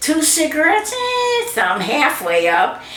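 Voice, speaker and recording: The speaker talks at a very slow pace with an American accent. Noticeable background noise and audible room echo fill the recording. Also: woman. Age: 80s+. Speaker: grandmother interviewed about her life. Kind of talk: family oral history interview.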